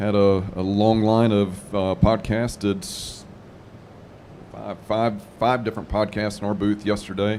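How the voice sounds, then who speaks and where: A man's fairly low, dark, mellow voice with a Southern US accent, monotone and flat, at a fairly slow pace. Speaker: manufacturing podcaster and presenter. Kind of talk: casual panel chat. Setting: live trade show lounge.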